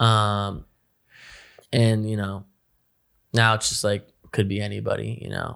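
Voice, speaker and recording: A man with a New Jersey accent, monotone, flat intonation and long, frequent pauses, in a very clean recording with a silent background. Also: fairly low pitch for a man, fairly slow pace. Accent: New Jersey American. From North Jersey. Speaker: rapper. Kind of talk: casual chat.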